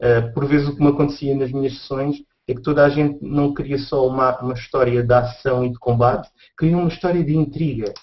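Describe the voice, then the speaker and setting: A man's fairly high, somewhat breathy voice in a European Portuguese accent, at a fairly quick pace with fairly even intonation. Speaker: podcast host. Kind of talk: casual chat. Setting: video call.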